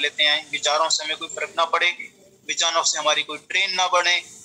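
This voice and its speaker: High-pitched man's voice with a Punjabi accent and fairly even intonation, with music in the background. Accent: Punjabi-accented Hindi. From Punjab, India. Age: 50s. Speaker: meditation teacher. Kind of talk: spiritual lecture. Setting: talk with slides on screen.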